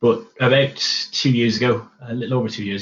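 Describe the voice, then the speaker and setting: A somewhat breathy man at a fairly quick pace, his intonation monotone and flat. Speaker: manufacturing research engineer presenting at tech meetup. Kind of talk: webinar presentation. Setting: online webinar. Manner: fast.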